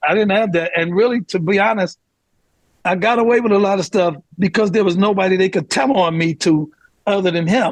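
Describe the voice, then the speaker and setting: Loudness stays very even as a man with a high pitch speaks at a fairly quick pace with ordinary pitch variation. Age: 60s. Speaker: pastor and political advisor. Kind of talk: casual chat. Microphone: connection issues.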